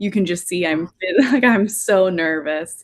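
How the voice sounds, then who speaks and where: Fairly slow and with ordinary pitch variation, a woman speaks in an American accent. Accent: Southern US, still present but less thick. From Tennessee. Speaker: on-camera reporter. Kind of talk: interview.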